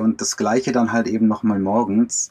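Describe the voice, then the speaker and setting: An ordinary speaking voice from a man, medium in pitch, at a fairly slow pace. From Germany. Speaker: van lifer and traveller. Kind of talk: casual interview. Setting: video call from inside a camper van.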